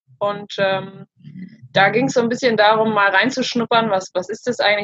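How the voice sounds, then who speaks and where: A woman's ordinary speaking voice at a fairly high pitch, with ordinary pitch variation and a moderate pace. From Germany. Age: 30s. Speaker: self-love coach, former social worker. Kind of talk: interview.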